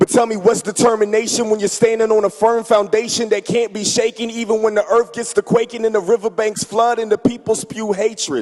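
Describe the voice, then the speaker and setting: In a passionate tone, a man with a high voice talks fairly quickly with hardly any pauses and a monotone, flat intonation, the sound dry and close with no echo over noticeable background noise. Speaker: church member performing spoken word. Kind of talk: spoken word poetry performance at church. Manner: passionate, rhythmic.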